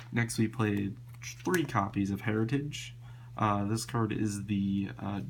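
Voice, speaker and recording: A man with a fairly low pitch talks at a moderate pace, his intonation lively, while noticeable background noise carries on behind him. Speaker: card game player. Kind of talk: casual talk to camera. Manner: casual, hesitant with many fillers.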